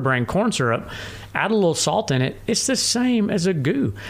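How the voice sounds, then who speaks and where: Speaking in a Tennessee accent, a man uses very wide pitch swings at a moderate pace. Vocal fry runs through his voice. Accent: Southern US (Tennessee). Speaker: ultrarunner. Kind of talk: casual chat. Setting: home studio.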